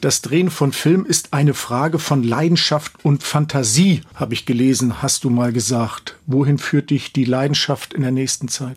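At a moderate pace, a man with a plain, everyday voice talks fairly high in pitch, his pitch varying in an ordinary way. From Schwerin, Mecklenburg. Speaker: radio host. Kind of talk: radio interview.

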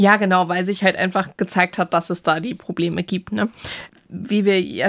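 Intonation is monotone and flat. The delivery keeps a moderate pace. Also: woman. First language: bilingual German and English (speaking German). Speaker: science journalist. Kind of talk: casual chat.

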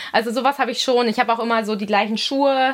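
A woman with a fairly high pitch talks using fairly even intonation. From Munich, Bavaria. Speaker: professional volleyball player. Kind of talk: interview.

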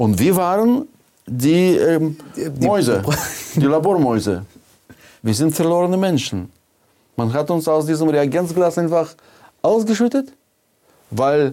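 A man with a fairly high pitch and a dark, mellow tone speaks at a fairly slow pace, with very wide pitch swings and long, frequent pauses. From Soviet Union. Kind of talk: casual chat.

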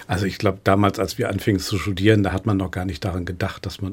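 A man's very deep, low, somewhat breathy voice at a very fast pace. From northern Germany, Lübeck. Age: 50s. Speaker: museum director. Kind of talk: radio interview. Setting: studio.

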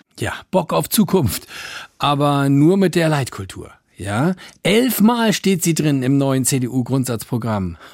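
Speaking at a very slow pace, a man uses a fairly high pitch with very wide pitch swings. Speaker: radio satire host. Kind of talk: radio satire show with stand-up style monologue. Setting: studio.

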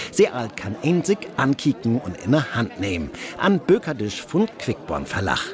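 Medium-pitched male speech with very wide pitch swings at a fairly slow pace, over noticeable background noise. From Hamburg. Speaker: radio host.

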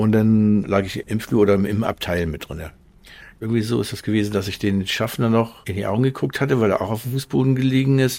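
The recording is very clean, with a silent background. A man talks very fast in a dark, mellow tone with ordinary pitch variation. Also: fairly low pitch for a man. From Schleswig-Holstein. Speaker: train crash survivor. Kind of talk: interview testimony.

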